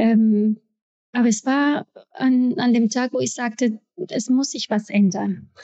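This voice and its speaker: Speaking at a very slow pace with long, frequent pauses, a woman uses a fairly high pitch and ordinary pitch variation. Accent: Spanish. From Ecuador. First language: Spanish (speaking German). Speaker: actress and entrepreneur. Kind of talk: interview. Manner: hesitant, many filler sounds.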